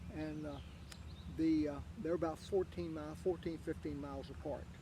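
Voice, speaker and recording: Speaking at a moderate pace, a man talks with an Appalachian accent. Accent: Appalachian Southern US. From US South, southwestern Virginia (Wise County). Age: 80s+. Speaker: interviewee, local golf champion. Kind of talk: casual interview. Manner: halting, many fillers.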